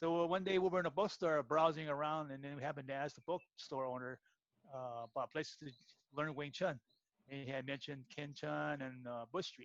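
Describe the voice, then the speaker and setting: A man with an American accent has an unremarkable speaking voice. His pitch is fairly high and his intonation fairly even. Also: fairly quick pace. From San Francisco, US. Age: 60s. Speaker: martial arts practitioner. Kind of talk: casual interview.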